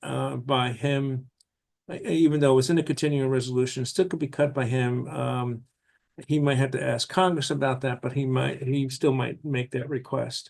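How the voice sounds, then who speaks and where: A man with a medium-pitched voice and ordinary pitch variation. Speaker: housing nonprofit executive. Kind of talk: legislative committee testimony. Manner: fast; halting, many fillers.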